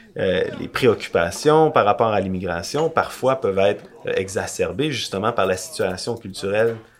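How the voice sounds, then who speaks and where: There is noticeable background noise in this clip. A man speaks at a fairly slow pace. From Quebec. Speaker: podcast co-host. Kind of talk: casual discussion.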